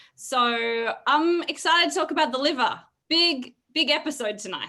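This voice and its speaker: Projecting a raised voice, a woman speaks in a bright, sharp tone with lively intonation. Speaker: wellness show co-host. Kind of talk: live video call chat. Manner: loud.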